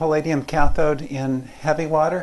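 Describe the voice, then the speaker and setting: A soft-spoken man talks at a fairly slow pace. Audible room echo surrounds his voice. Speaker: physics professor. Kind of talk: lecture. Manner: halting.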